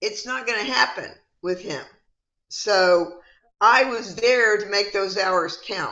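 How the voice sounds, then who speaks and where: With an American accent, a woman talks very slowly at a medium pitch with ordinary variation, leaving long, frequent pauses amid audible room echo. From USA. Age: 70s. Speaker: psychodrama trainer. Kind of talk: supervision session. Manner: casual, conversational.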